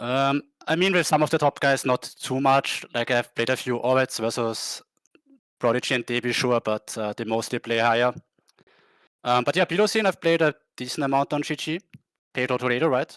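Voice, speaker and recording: With a German accent, a man talks at a fairly quick pace and medium pitch with ordinary pitch variation and long, frequent pauses, in a very clean recording with a silent background and a dry, close sound with no echo. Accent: German-speaking. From Austria. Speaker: poker player. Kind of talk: casual interview. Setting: live stream.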